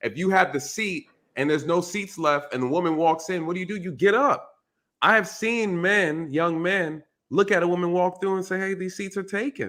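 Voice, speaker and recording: On a very clean recording with a silent background, a man speaks in a high pitch with a bright, sharp tone, ordinary pitch variation and a moderate pace. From New York. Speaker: retired police officer. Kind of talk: casual chat.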